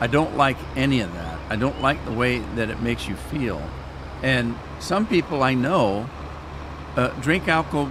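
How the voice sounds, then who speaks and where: A man with an American accent speaks at a moderate pace. His very wide pitch swings come through noticeable background noise. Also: medium pitch for a man. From Washington State, Yakima Valley. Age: 70s. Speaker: gaming streamer. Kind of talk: live stream chat. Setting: live stream. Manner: animated, talks with his hands.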